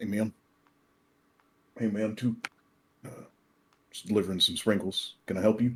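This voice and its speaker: The speaker uses a put-on character voice with a drawl at a moderate pace. Long, frequent pauses run through it. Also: man, fairly low pitch for a man. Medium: actual play. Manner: casual, drawling, says man constantly.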